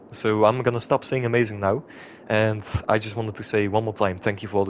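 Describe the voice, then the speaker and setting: Talking at a very fast pace, a man with a non-native accent speaks at a fairly low pitch. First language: not English. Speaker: gaming YouTuber. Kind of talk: gameplay commentary. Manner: hesitant, many filler sounds.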